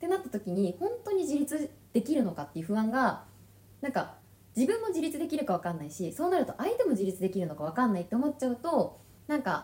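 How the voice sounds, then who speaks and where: Talking at a very fast pace, a woman with a high pitch and a dark, mellow tone makes very wide pitch swings. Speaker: podcast co-host. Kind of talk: casual chat.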